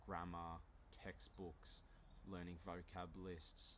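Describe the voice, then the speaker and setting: Audible room echo surrounds a man with an Australian accent and vocal fry. He talks at a fairly slow pace with ordinary pitch variation. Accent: mild Australian. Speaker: language teacher YouTuber. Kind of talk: casual monologue, language lesson. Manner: moderate pace, clear.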